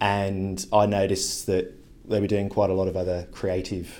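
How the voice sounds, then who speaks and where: A man with a very deep, low pitch and a dark, mellow tone, at a moderate pace, in audible room echo. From England, Devon. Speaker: creative agency director. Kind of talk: interview. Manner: casual, with some repetitions.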